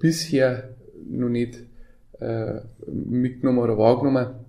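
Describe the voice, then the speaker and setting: A man's dark, mellow, monotone voice with flat intonation and audible room echo. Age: 40s. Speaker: mayor. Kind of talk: casual chat.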